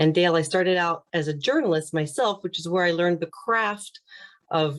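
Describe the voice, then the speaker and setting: A normal speaking voice from a woman with a fairly low pitch, an American accent, a moderate pace and ordinary pitch variation. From US Midwest, small-town Indiana. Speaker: communications coach and former TV anchor. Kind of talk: interview.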